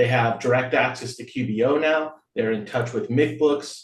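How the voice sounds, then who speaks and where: Man with a plain, everyday voice, medium pitch, moderate pace and fairly even intonation. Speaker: nonprofit board member handling finances. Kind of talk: board meeting report.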